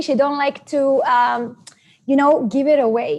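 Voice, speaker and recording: A woman with an Israeli accent speaks at a moderate pace in a high pitch. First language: Hebrew. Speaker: network marketing presenter. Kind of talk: seminar presentation. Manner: halting.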